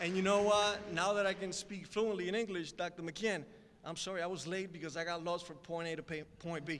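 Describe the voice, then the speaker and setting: Speaking with a Spanish accent, a man has a high pitch. His intonation stays fairly even. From Puerto Rico. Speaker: guest speaker. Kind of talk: speech. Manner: conversational, many fillers.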